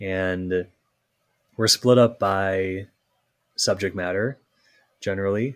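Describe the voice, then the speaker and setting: A man's fairly low voice with an American accent, at a very slow pace with long, frequent pauses and fairly even intonation, in a very clean recording with a silent background. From Minnesota. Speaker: lawyer. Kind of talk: casual interview.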